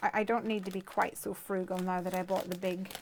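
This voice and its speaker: Over noticeable background noise, a woman speaks with monotone, flat intonation. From Ireland. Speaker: craft video host. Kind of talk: tutorial; casual chat.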